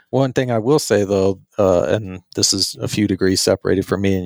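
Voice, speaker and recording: A man talks at a moderate pace in an ordinary speaking voice. His pitch is fairly low. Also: dry, close sound with no echo. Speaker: podcast co-host. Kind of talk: casual podcast conversation.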